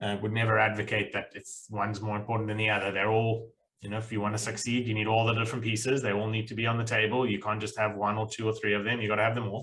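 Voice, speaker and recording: With a South African accent, a man talks at a very fast pace with hardly any pauses and a monotone, flat intonation. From South Africa (Pretoria, Cape Town). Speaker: accountant, accounting firm owner. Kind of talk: podcast interview.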